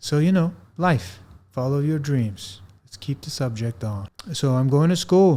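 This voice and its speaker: A man with a non-native accent speaks at fairly high pitch and a fairly slow pace, his dark, mellow tone showing lively intonation. His loudness swings widely, captured in a very clean recording with a silent background. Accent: foreign. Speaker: actor and podcast host. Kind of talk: casual personal monologue. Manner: casual, with some hesitations.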